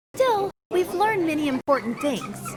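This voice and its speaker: This put-on character voice sits high in pitch, moves at a moderate pace and swings very widely up and down. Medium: video game.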